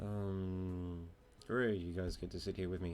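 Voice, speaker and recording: A calm tone carries over music in the background. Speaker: gaming video creator. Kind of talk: gameplay commentary. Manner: calm, low-energy; many filler ums.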